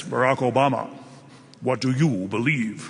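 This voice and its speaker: Over light background noise, a man puts on a character voice at a medium pitch and a moderate pace. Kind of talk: joke voice in a story. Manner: booming, godlike.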